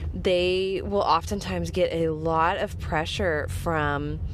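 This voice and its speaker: A woman is speaking. Audible room echo is present. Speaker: horse training podcast host. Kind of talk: casual podcast monologue. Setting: in a car. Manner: monotone.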